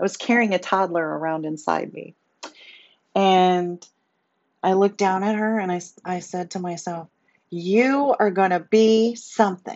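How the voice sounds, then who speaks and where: A woman's medium-pitched voice at a fairly slow pace, with ordinary pitch variation and long, frequent pauses. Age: 50s. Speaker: podcast host. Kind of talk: personal testimony monologue.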